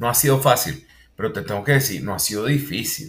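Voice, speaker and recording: A man speaks at a medium pitch with a Venezuelan accent. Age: 40s. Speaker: university lecturer and consultant. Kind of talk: interview.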